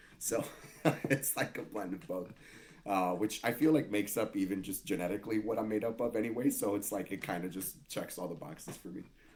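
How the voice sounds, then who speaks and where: Speech comes at a fairly quick pace with ordinary pitch variation. The accent is American. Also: man, fairly low pitch for a man. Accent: slight Spanish twang, noticed by others. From Miami, Florida, US. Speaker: Santeria practitioner. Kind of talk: casual interview conversation.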